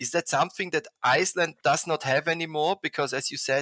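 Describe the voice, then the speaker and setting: Over a very clean recording with a silent background, a man with a German accent speaks in a bright, sharp tone with ordinary pitch variation. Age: 50s. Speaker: podcast host, environmental graphic designer. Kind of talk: interview. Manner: halting.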